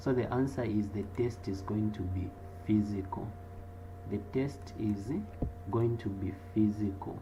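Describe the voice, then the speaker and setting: A fairly low-pitched man at a fairly slow pace, with fairly even intonation, long, frequent pauses, audible room echo and noticeable background noise. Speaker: accounting lecturer. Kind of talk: online class Q&A. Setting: live online video class.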